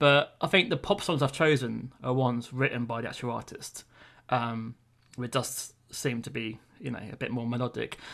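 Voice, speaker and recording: Against a quiet background, a man with a British accent speaks at medium pitch and a moderate pace, with ordinary pitch variation. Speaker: music podcast co-host. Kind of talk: casual chat. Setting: podcast recording. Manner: hesitant, many fillers.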